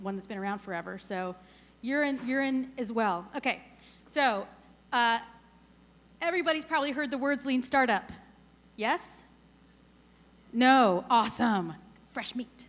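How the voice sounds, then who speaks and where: Loud and high-pitched, a woman speaks with lively intonation and long, frequent pauses. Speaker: startup advisor and workshop founder. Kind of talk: conference talk. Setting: stage with audience. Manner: fast.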